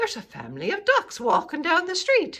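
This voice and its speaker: In a put-on character voice that is raised and projected, the speaker talks at a fairly quick pace with an extremely high pitch. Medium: read story. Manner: urgent.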